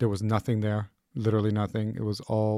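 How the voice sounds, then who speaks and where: Dry and close with no echo, a man speaks in a dark, mellow tone at a fairly low pitch. His intonation is monotone and flat. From Israel (Jerusalem, Tel Aviv area). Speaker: guest from Israel. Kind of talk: casual interview.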